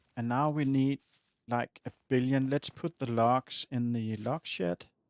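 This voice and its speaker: Speaking at a fairly slow pace with a Danish accent, a man keeps a fairly even intonation in a dry, close sound with no echo. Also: medium pitch for a man. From Denmark. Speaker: video game streamer. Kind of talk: casual live-stream gameplay chat. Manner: halting, many fillers.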